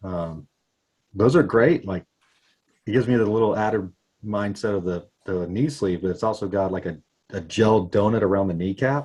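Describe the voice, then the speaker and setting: With a dark, mellow tone and fairly low pitch, this man talks at a moderate pace with ordinary pitch variation and long, frequent pauses. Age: 40s. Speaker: skateboarder. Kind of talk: casual chat.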